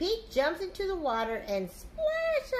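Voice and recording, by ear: A woman's high voice at a fairly slow pace, with very wide pitch swings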